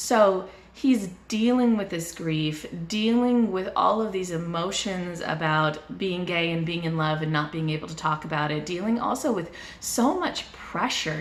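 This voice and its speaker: Speaking with a fairly low pitch and ordinary pitch variation, a woman keeps a fairly slow pace. Noticeable background noise is present. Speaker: book reviewer. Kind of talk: casual book review to camera.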